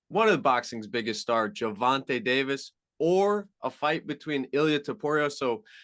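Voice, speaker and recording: A man's fairly high-pitched voice over a quiet background. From Long Island, New York. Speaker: MMA journalist. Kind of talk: radio sports interview.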